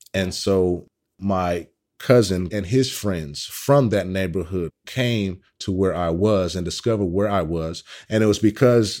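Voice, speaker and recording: A man with an American accent and a plain, everyday voice speaks at a fairly low pitch and a fairly slow pace, with ordinary pitch variation, on a very clean recording with a silent background. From Oakland, California (East Oakland). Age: 30s. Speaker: workshop leader on police-community trust. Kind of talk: interview testimony.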